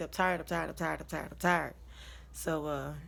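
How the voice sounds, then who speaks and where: A woman talks at a very fast pace. The recording is very clean, with a silent background. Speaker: vlogger. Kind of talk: personal story time.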